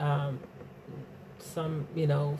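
A woman speaks in a very deep, low pitch against noticeable background noise. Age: 40s. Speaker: podcast host and singer. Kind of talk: casual monologue. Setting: home, in quarantine. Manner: hesitant with frequent fillers.

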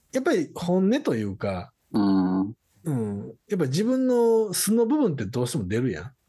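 A fairly high-pitched man with a Kansai accent, a dark, mellow tone and very wide pitch swings. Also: moderate pace. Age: 40s. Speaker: podcast co-host. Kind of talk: casual chat.

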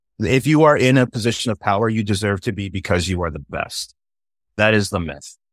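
Speaking fairly quickly with lively intonation, a man with a Californian accent and fairly low pitch is heard in a very clean recording with a silent background and a dry, close sound with no echo. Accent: general American (Californian). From Southern California. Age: 40s. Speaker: filmmaker and puppeteer. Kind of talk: casual interview chat.

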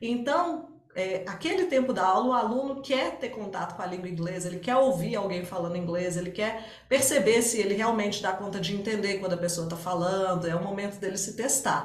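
A fairly quick pace, audible echo from the room, and noticeable noise in the background. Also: woman, medium pitch for a woman, ordinary pitch variation. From Minas Gerais, Brazil (Barbacena). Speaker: English teacher. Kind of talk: interview.

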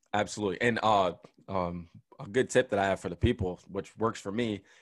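In a very clean recording with a silent background, a man talks in an animated tone at a fairly low pitch. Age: 20s. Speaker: podcast co-host, former college football player. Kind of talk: casual chat.

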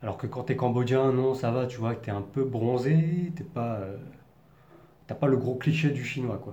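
A man with a slight Parisian accent speaks at a medium pitch and a fairly slow pace, with ordinary pitch variation, audible room echo and noticeable background noise. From Paris region, France. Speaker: vlogger. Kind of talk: personal monologue.

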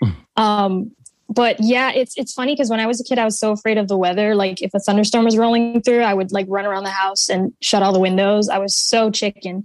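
A woman talks at a very fast pace with an American accent. Music plays in the background. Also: medium pitch for a woman. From Connecticut. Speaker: artist and musician. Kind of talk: interview. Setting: video call.

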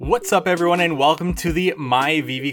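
Noticeable background noise sits behind the recording. A man speaks over it at a moderate pace. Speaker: NFT collecting podcaster. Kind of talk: solo podcast commentary. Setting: recorded video/podcast.

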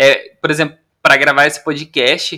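A man talks at a moderate pace with a fairly high pitch and a bright, sharp tone. The recording is very clean, with a silent background. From Brazil, interior of Paraná. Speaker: podcast co-host, film content creator. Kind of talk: casual chat.

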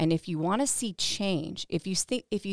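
An ordinary speaking voice from a woman with an American accent, fairly low pitch and ordinary pitch variation at a moderate pace, in a very clean recording with a silent background and a dry, close sound with no echo. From Texas, San Antonio. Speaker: district attorney candidate, former prosecutor. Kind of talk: podcast interview.

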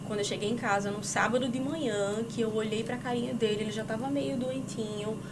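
A woman talks at a moderate speed, with audible room echo and noticeable background noise in the recording. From Paraíba, Brazil. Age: 30s. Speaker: digital influencer and entrepreneur. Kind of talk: casual chat. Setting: studio.

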